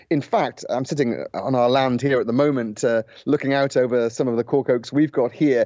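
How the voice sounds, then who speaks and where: A man with a British accent speaks at a medium pitch. His pace is moderate and his intonation fairly even. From Britain. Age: 40s. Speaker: journalist, former war correspondent. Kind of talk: radio interview. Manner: hesitant, many fillers.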